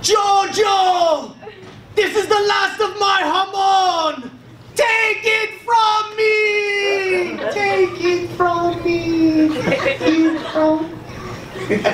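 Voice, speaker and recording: A put-on character voice at an extremely high pitch shouts at a very slow pace, with slight echo and loud background noise. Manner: screaming, desperate.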